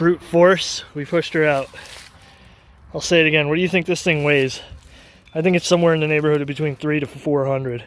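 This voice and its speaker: The man speaks at a fairly high pitch. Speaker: DIY mechanic vlogger. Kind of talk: casual vlog narration outdoors. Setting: outdoors in the woods. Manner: animated.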